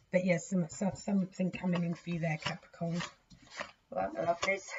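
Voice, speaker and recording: A woman's fairly low, fairly quick voice with fairly even intonation over noticeable background noise. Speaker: tarot reader. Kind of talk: tarot reading. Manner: casual, chatty.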